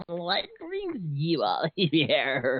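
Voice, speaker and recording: A put-on character voice at a middle pitch. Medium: actual play. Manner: mocking, laughing.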